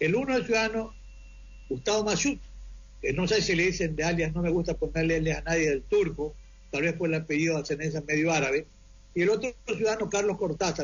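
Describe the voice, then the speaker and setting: A man talks at a very fast pace with a high pitch and ordinary pitch variation. His loudness stays very even. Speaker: defense lawyer. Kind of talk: interview.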